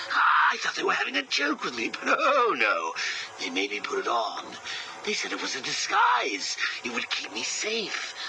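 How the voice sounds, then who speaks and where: A man performs a put-on character voice at a moderate pace, with clear background noise behind him. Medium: machinima. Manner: mocking, theatrical, darkly playful.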